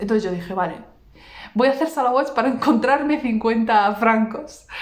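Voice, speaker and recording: In a room with audible echo, a woman with a fairly high pitch talks at a moderate pace with ordinary pitch variation. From Basque Country, Vitoria. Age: 30s. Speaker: religious content creator. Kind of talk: personal testimony.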